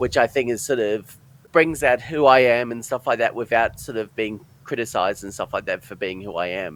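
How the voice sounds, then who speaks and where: Speaking at a fairly quick pace, a man with a medium pitch shows ordinary pitch variation. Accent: Australian. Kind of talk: interview, personal testimony. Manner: halting, broken speech with many fillers.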